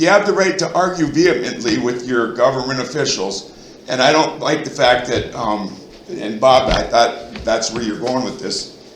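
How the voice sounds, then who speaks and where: Here a man talks at a moderate pace with a medium pitch and lively intonation. Noticeable background noise and audible room echo fill the recording. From Minnesota, central (Royalton area). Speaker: resident speaking at town board meeting. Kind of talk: heated debate. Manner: loud; animated.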